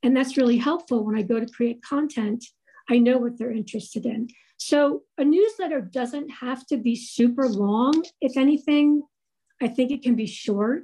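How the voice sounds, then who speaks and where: A woman's high-pitched voice with a dark, mellow tone, ordinary pitch variation, and a moderate pace. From New Jersey, US. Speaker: woodcarving designer and website coach; guest. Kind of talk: presentation. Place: home room. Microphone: video call.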